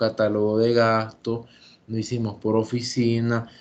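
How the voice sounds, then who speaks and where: This man's voice sits at a medium pitch. He speaks at a moderate pace. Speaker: teacher. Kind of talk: lecture. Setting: video call.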